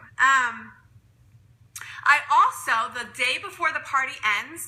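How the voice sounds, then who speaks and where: Noticeable background noise behind a woman's voice, its pitch varying in an ordinary way. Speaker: direct sales consultant. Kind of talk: live stream tutorial. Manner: fast.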